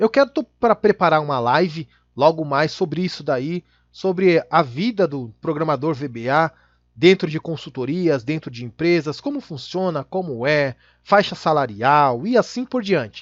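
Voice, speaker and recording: A man speaks at a fairly slow pace in an ordinary speaking voice, fairly high in pitch with lively intonation. The sound is dry and close with no echo over a quiet background. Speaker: Excel VBA instructor. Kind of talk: tutorial.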